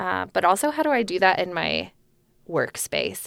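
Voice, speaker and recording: In a very clean recording with a silent background, a woman speaks at a fairly slow pace with an American accent. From New Jersey. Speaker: church member. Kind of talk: casual chat; testimony.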